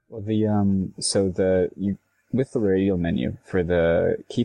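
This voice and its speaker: A man with a fairly low pitch, ordinary pitch variation and a plain, everyday voice. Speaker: co-host. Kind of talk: casual chat.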